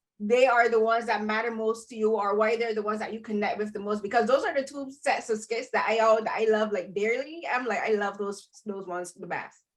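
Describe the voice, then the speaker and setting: Fairly high-pitched, a woman speaks at a fairly quick pace. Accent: Barbadian. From Barbados. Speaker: podcast host and film critic. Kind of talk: roundtable interview. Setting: video call. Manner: halting, many fillers.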